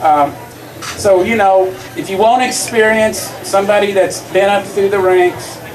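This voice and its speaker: In a room with audible echo and noticeable background noise, a man speaks fairly slowly in a high pitch with fairly even intonation. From Kentucky. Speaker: school board candidate, retired school principal. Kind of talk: campaign speech. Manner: halting with fillers.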